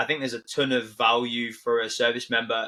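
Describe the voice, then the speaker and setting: A man speaks with a northern English accent. His pitch is medium and his pace moderate. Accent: British, northern English. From northern England, near Manchester. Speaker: army veteran, tech company founder. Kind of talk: podcast interview. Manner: halting, many repeats and fillers.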